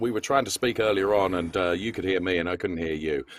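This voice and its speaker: This man has a very deep, low pitch and ordinary pitch variation. The recording is very clean with a silent background, and the sound is dry and close with no echo. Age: 60s. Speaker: motorsport commentator. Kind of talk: live commentary wrap-up interview. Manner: animated.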